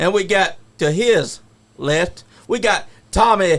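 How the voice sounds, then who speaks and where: A man talks at a very slow pace with a high pitch. His pitch varies in an ordinary way. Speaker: podcast host. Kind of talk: podcast intro. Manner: upbeat.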